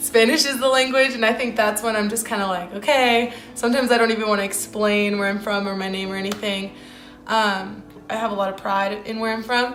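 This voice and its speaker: Noticeable background noise and audible room echo surround a woman speaking at a fairly quick pace with a fairly high pitch and fairly even intonation. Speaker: student interviewee. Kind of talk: interview answers.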